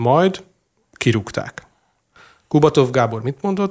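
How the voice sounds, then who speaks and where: His intonation is lively and his pitch fairly high. The man keeps a moderate pace. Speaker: company managing director, commentator. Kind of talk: casual panel discussion. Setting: studio.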